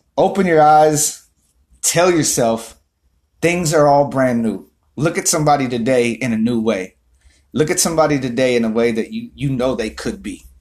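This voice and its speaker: Animated and lively in intonation, a man talks at medium pitch and a moderate pace. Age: 30s. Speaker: motivational vlogger. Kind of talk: motivational monologue.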